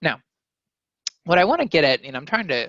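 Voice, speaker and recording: This is a man speaking. The recording is dry and close, with no echo. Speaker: university lecturer. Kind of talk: lecture. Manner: fast. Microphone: connection issues, audio only.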